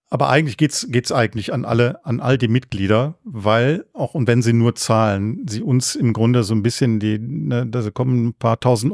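A normal speaking voice at a moderate pace, ordinary pitch variation, dry and close with no echo, on a very clean recording with a silent background. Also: man. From Germany, Cologne. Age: 60s. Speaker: culture association chairman. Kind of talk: interview.

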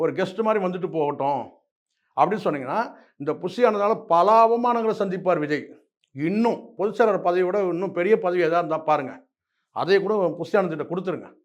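High-pitched male speech, its pitch varying in an ordinary way. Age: 50s. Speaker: political commentator. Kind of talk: interview. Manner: animated.

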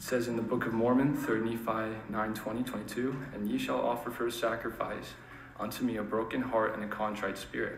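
There is audible room echo and light background noise as a man talks at a moderate pace in a monotone, flat intonation. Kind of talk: sermon. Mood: earnest, calm. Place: church.

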